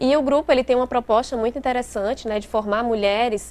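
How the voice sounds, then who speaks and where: A woman speaks with fairly even intonation. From interior of Bahia, Brazil. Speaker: lawyer. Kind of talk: interview.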